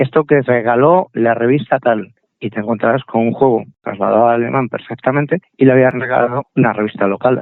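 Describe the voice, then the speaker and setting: Speaking at a fairly quick pace, a man has a plain, everyday voice, medium pitch and fairly even intonation. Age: 60s. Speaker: computer collector. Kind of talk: interview.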